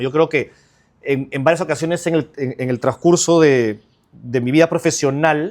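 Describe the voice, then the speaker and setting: This fairly high-pitched man shows ordinary pitch variation. The recording is very clean, with a silent background. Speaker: trial lawyer. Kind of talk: interview conversation. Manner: fast; energetic.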